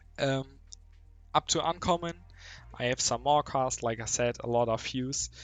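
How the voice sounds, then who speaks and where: A man's medium-pitched voice with a German accent, a moderate pace, ordinary pitch variation, long and frequent pauses, and music in the background. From Germany. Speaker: mobile game youtuber. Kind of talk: casual gameplay commentary. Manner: halting, many fillers.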